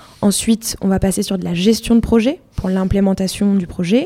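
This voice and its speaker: A woman with a dark, mellow tone speaks at a medium pitch. Her pace is moderate and her intonation fairly even. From France, Loire near Roanne. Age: 20s. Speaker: customer success manager. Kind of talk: interview.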